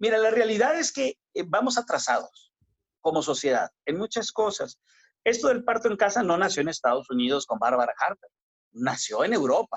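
A man talks at a high pitch and a moderate pace. His pitch swings very widely. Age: 50s. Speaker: obstetrician-gynecologist. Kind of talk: interview.

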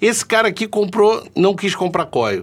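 At a fairly slow pace, a man speaks. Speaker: vaping channel host. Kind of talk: solo live stream chat. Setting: live stream with chat. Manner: casual, chatty.

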